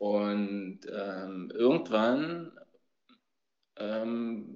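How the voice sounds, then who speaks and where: In a room with audible echo, a man speaks very slowly in a fairly low pitch. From Berlin (East). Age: 40s. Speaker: youth basketball coach. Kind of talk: casual chat.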